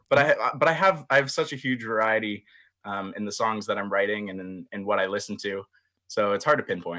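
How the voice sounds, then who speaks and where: This man has a fairly low pitch, ordinary pitch variation and a bright, sharp tone, with big swings in loudness. The recording is very clean, with a silent background. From Barrie, Ontario, Canada. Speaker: country singer. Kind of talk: interview answer. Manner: hesitant, many fillers.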